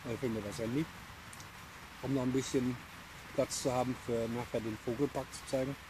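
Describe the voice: A man's medium-pitched voice, fairly quick in pace, with fairly even intonation.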